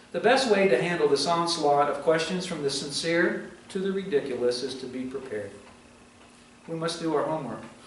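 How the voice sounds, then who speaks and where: A man with a fairly high voice and lively intonation speaks at a fairly quick pace, with audible room echo and noticeable background noise. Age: 60s. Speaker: pastor. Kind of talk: sermon.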